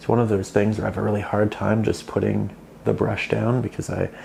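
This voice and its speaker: A quiet man with a relaxed tone over noticeable background noise. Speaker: art teacher. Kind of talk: soft-spoken ASMR painting tutorial. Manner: quieter, relaxed.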